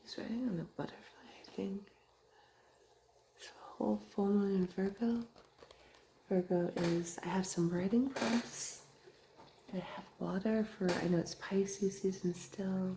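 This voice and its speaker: A woman's whisper at a fairly slow pace, with big swings in loudness, long, frequent pauses and noticeable background noise. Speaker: ASMR creator and tarot card reader. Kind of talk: ASMR journaling video. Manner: whispering.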